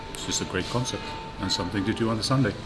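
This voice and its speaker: Music plays in the background as a man speaks with ordinary pitch variation. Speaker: travel vlogger. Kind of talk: casual vlog chat. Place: bar. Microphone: lapel.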